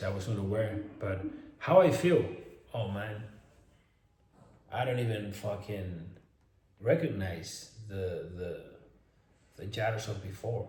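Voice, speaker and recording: Somewhat breathy speech in a Spanish accent carries audible room echo. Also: man. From Spain. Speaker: fitness influencer and online coach. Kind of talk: casual vlog monologue. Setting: at home in a mansion. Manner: animated.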